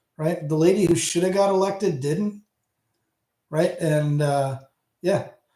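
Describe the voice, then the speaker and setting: With an Ontario accent, a man speaks at a moderate pace in a high pitch. His tone is dark and mellow, with ordinary pitch variation. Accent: Hamilton Ontario. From Canada, Hamilton, Ontario. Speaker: audio channel host. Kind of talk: casual livestream chat with viewers. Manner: halting, many false starts.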